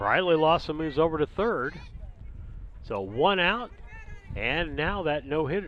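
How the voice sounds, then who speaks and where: The intonation is lively and the pace fairly slow. Long pauses come often. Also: man, fairly high pitch for a man. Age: 60s. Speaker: sports commentator. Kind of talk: live commentary.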